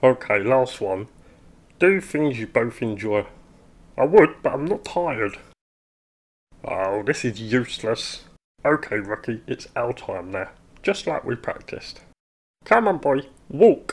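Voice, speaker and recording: Using a cartoonish character voice at a medium pitch, a man talks at a fairly slow pace with long, frequent pauses. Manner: exasperated, pleading, sarcastic.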